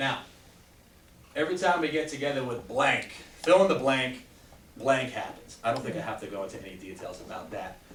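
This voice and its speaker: At a very fast pace, a man with a medium pitch speaks in an animated tone, with audible room echo and noticeable background noise. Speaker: chiropractor giving a health talk. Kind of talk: talk to a live audience.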